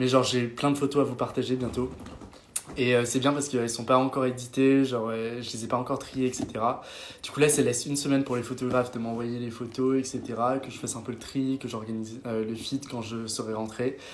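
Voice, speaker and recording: A man talks in a flat, monotone delivery with big swings in loudness. Noticeable background noise and audible room echo surround his voice. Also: medium pitch for a man. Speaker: social media influencer. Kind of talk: casual chat. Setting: live stream with friends. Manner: fast.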